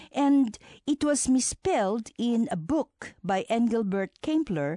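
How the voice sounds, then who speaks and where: On a dry, close recording with no echo and a quiet background, a woman with a dark, mellow tone speaks in a fairly high voice with very wide pitch swings. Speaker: radio co-host. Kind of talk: scripted narration.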